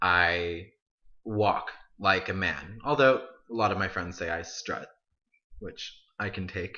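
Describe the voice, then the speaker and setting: A man with a fairly low pitch and ordinary pitch variation. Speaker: college student. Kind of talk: video essay monologue. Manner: casual, halting with self-corrections.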